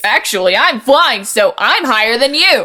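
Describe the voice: A woman in a put-on character voice, fairly high in pitch with big pitch swings, a bright, sharp tone and a moderate pace.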